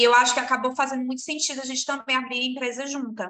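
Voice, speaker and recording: A woman's bright, sharp tone. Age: 30s. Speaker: entrepreneur, eyewear shop co-owner. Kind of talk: interview.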